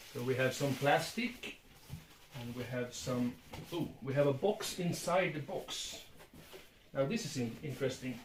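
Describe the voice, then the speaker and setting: At a fairly slow pace with long, frequent pauses, a man speaks with lively intonation at a fairly high pitch, with audible room echo around him. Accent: Swedish. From Sweden. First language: Swedish. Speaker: book collector. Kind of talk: casual unboxing video. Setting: at home, filmed by his son. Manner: halting.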